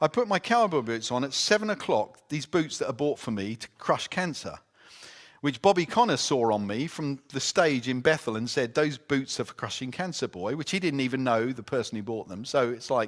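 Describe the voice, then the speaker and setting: Lively intonation in an English accent, on a very clean recording with a silent background. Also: man, medium pitch for a man, moderate pace. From Britain. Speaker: conference speaker. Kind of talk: talk and Q&A at church conference.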